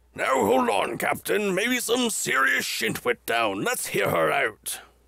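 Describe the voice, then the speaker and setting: A man performs a put-on character voice that is raspy. He keeps very even loudness at a fairly slow pace. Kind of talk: comic overacting. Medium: comedy sketch. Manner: formal, blustering, old-fashioned phrasing.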